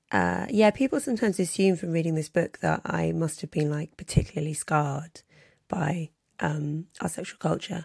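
Someone with a London accent speaks at a moderate pace. The sound is dry and close with no echo, in a very clean recording with a silent background. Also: woman. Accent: southern English (London). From London, England. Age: 30s. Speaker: journalist and author. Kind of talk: interview conversation.

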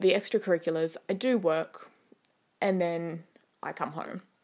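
This woman's voice sits at a fairly low pitch and keeps a fairly even intonation. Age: 20s. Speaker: podcast host. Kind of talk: casual solo monologue. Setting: home bedroom. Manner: chatty, laughs often.

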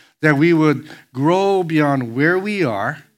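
There is audible room echo around a man whose voice is fairly high-pitched. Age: 60s. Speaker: pastor. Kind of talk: sermon. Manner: halting.

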